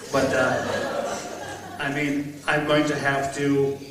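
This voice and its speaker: Over noticeable background noise and audible room echo, a man speaks in a fairly high pitch. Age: 60s. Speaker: mayoral candidate, retired military veteran. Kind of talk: candidate forum opening statement. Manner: halting, filler-heavy.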